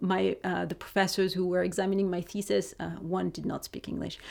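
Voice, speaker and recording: The recording is very clean, and the background is silent. On it, a woman talks with a French accent. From France. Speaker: criminology lecturer. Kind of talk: interview.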